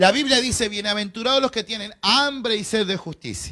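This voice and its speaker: The voice is raised and projected, with a bright, sharp, animated tone. It moves at a moderate pace in a Rioplatense accent. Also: man. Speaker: pastor. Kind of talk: bible class lecture.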